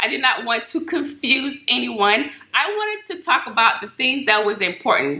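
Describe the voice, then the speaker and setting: Over noticeable background noise, a high-pitched woman talks at a moderate pace with hardly any pauses, very wide pitch swings and big swings in loudness. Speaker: Medicare insurance broker. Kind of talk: casual tutorial vlog.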